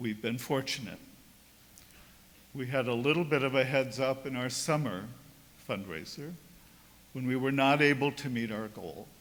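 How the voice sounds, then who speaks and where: A man of medium pitch talks at a moderate pace with ordinary pitch variation, long, frequent pauses and audible room echo. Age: 70s. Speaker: priest. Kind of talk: sermon.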